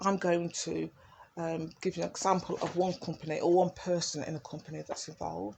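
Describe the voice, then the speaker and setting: Fairly quick speech in an East Midlands accent with fairly even intonation. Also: woman, fairly low pitch for a woman. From East Midlands, England (Derby). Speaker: video blogger. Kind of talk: personal monologue. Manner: rambling, hesitant with fillers.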